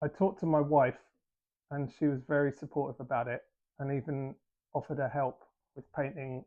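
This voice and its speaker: This man's pitch sits fairly high, and his intonation stays fairly even. His loudness swings widely, with long, frequent pauses. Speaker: boat restorer and YouTuber. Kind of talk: video voiceover narration. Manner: monotone.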